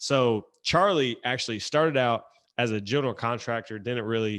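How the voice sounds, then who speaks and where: At a moderate pace, a man with a medium pitch and ordinary pitch variation talks in a slight Southern US accent. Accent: slight Southern twang. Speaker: podcast host. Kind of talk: podcast interview. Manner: casual.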